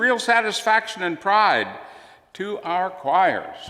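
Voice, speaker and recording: Using a raised, projected voice, a man with an American accent speaks in a bright, sharp tone with lively intonation. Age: 80s+. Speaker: retired minister, guest preacher. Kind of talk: sermon. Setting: church.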